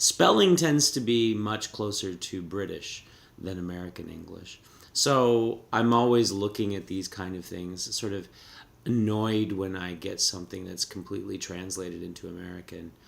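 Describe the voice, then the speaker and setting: A man with a Canadian accent and fairly low pitch, at a moderate pace with ordinary pitch variation and big swings in loudness, audible room echo around him. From Canada. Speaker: professor. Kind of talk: lecture. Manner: halting.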